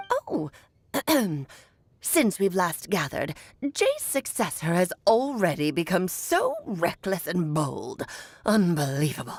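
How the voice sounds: A woman's put-on character voice at a medium pitch and fairly slow pace, with long, frequent pauses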